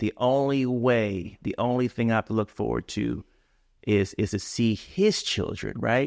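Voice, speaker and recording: Recorded dry and close with no echo against a silent, very clean background, a man with a normal speaking voice talks fairly slowly at medium pitch with ordinary pitch variation. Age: 40s. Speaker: father. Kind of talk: casual chat.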